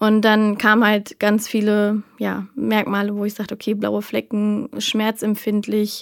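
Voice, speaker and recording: Fairly slow and with hardly any pauses, a woman speaks at a fairly high pitch in monotone, flat intonation. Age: 30s. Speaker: podcast guest living with lipedema. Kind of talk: casual interview chat.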